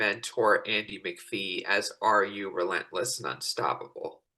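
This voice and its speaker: A man with an American accent, at a moderate pace. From Colorado, US. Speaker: podcaster. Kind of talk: interview.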